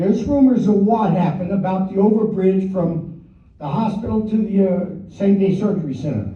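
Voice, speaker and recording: Loud and high-pitched, a man talks at a fairly quick pace with ordinary pitch variation, amid audible room echo and noticeable background noise. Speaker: resident speaking at public comment. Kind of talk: public comment at council meeting. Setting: council meeting room.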